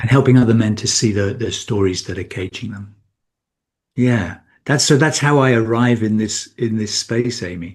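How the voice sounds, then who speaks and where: At a moderate pace, a man with a British accent speaks in a medium pitch with ordinary pitch variation against a quiet background. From Britain. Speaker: men's coach. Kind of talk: podcast interview. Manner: halting, many repetitions.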